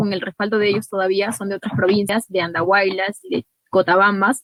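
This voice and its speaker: At a moderate pace, a woman talks at a medium pitch in an ordinary speaking voice. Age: 20s. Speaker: congressional candidate. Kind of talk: interview.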